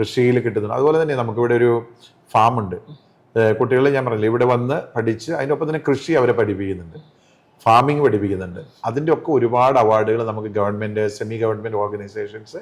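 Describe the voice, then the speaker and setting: A man talks in an unremarkable speaking voice at medium pitch, with ordinary pitch variation. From Kerala, Thodupuzha (Idukki), raised also in Palakkad. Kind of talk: interview. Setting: college hall.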